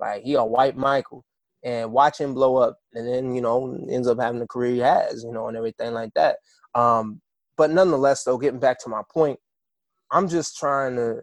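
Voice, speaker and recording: A man with an American accent speaks at a moderate pace in a medium pitch with ordinary pitch variation, in an ordinary speaking voice. The sound is dry and close, with no echo. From Kansas, US. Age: 20s. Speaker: musician. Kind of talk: interview. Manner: casual, conversational.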